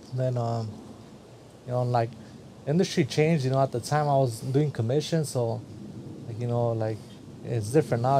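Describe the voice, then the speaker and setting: Speaking with an American accent, a man sounds somewhat breathy and leaves long, frequent pauses. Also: medium pitch for a man, fairly even intonation, fairly quick pace. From Central California. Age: 30s. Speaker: barber and barber supply business owner. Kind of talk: casual chat.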